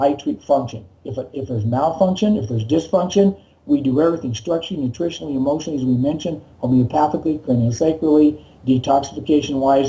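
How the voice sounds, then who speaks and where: A man speaks very fast in a fairly high, somewhat breathy voice with a dark, mellow tone. His pitch varies an ordinary amount. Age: 60s. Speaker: chiropractor. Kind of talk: interview.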